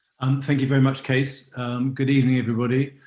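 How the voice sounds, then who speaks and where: This man talks fairly quickly in an English accent. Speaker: wine expert. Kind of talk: online masterclass talk.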